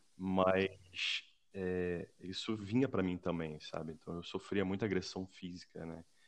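The delivery comes at a fairly slow pace with fairly even intonation. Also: man, very deep, low pitch for a man. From Brazil (Rio de Janeiro). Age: 40s. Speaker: civil servant. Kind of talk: casual chat.

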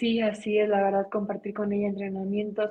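Woman's somewhat breathy voice at medium pitch. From Mexicali, Baja California, Mexico. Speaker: taekwondo world champion athlete. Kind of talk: interview.

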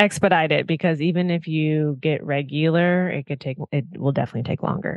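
A woman with an American accent speaks in a very deep, low voice with fairly even intonation. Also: fairly quick pace. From Minnesota, US Midwest. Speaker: podcast co-host. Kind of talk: casual chat.

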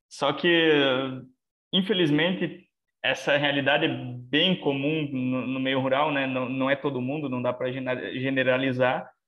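A man with a normal speaking voice talks at medium pitch. His pace is fairly slow and his intonation fairly even. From southwestern Paraná, Brazil. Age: 20s. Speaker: animal scientist. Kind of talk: casual interview.

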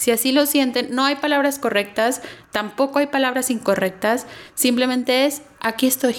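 Her high-pitched voice holds very even loudness, fairly even intonation, and a moderate pace as this woman speaks. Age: 30s. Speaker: marketing professional, cancer survivor. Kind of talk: testimony.

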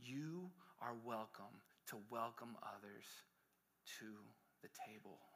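The delivery is animated, with a bright, sharp tone. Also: man. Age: 30s. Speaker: pastor. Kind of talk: sermon.

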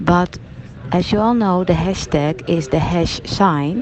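Very slow speech from a woman with a Dutch accent at a fairly low pitch, against noticeable background noise. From Netherlands. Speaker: nursing journal editor. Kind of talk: video blog. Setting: at a medical conference. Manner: hesitant, many fillers.

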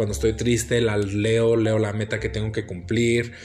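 Fairly low in pitch, a man's voice moves at a moderate pace. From United States. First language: English (speaking Spanish). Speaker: podcast host. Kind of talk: casual solo monologue. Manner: halting, many fillers.

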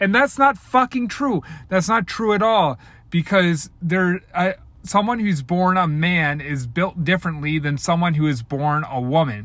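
A man's high-pitched voice with an American accent, on a very clean recording with a silent background. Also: lively intonation. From US, Baltimore. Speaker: podcast host and coach. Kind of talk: solo rant. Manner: casual, hesitant with many fillers.

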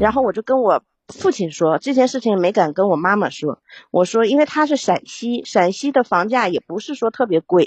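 A woman with a fairly high pitch talks at a fairly quick pace, her voice making very wide pitch swings. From Yingkou, Liaoning, China. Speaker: caller. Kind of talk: personal problem talk. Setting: live stream call.

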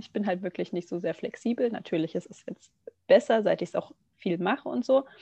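A woman with a dark, mellow tone speaks at a fairly quick pace, with lively intonation and big swings in loudness. The sound is dry and close, with no echo. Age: 20s. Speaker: yoga teacher and nursery educator. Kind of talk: casual podcast interview.

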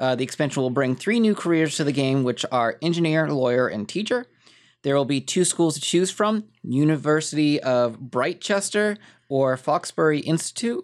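A man with a plain, everyday voice, fairly high in pitch, lively intonation and a moderate pace, in a very clean recording over a silent background. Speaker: gaming podcast co-host. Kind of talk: casual chat.

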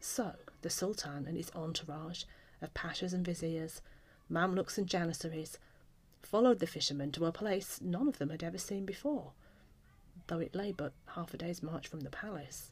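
A woman with a fairly low, somewhat breathy voice speaks at a fairly quick pace in a dramatic tone, with ordinary pitch variation. She takes long, frequent pauses. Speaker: author and storyteller. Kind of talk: fairy-tale audiobook narration. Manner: measured, storytelling cadence with dramatic voices.

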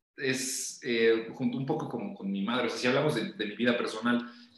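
The man's voice sits at a medium pitch, with audible room echo around it. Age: 30s. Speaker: podcast guest talking numerology and lucid dreams. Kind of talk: casual interview.

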